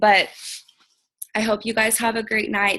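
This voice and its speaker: A woman speaks in a bright, sharp tone with vocal fry. Her intonation is monotone and flat. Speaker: team leader of a direct sales team. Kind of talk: team call pep talk. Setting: video conference call. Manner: subdued.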